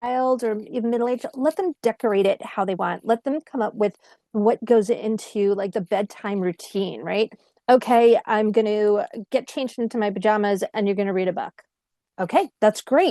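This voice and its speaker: A woman speaks at a moderate pace in a fairly high voice with a dark, mellow tone and ordinary pitch variation, recorded with a dry, close sound and no echo. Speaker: parent coach. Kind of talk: online parenting workshop talk. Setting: virtual session.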